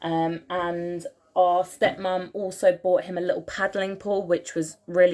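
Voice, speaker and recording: In an English accent, a woman speaks at a medium pitch. Her pace is moderate and her intonation monotone and flat. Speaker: vlogger. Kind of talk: casual tutorial.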